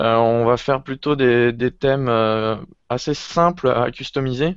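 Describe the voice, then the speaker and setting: A man with an ordinary speaking voice talks at a fairly slow pace. His pitch is medium, and the background is quiet. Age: 20s. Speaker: web developer. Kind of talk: casual chat.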